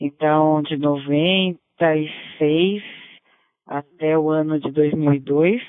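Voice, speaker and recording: A woman speaks in a very deep, low pitch with fairly even intonation. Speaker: ham radio operator. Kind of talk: radio net chat. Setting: amateur radio (DMR).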